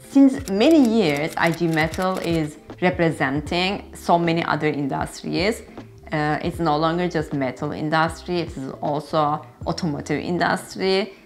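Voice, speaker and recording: In a Turkish accent, a woman speaks at a fairly low pitch and a fairly slow pace, with ordinary pitch variation and light background noise. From Turkey. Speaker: engineer and vlogger. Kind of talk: monologue vlog, informative. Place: home room.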